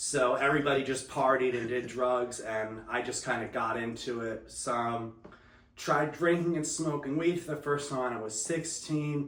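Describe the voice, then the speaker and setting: Amid noticeable background noise and audible room echo, a man with an American accent talks at a moderate pace, medium in pitch with ordinary pitch variation. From New Jersey. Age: 30s. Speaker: recovering addict. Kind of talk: testimony interview.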